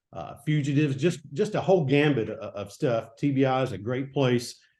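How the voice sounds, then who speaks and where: A man in a Tennessee accent, medium pitch, a dark, mellow tone, and a moderate pace. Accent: Southern US (Tennessee). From Middle Tennessee, US South. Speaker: retired state investigator. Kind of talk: interview. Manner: halting.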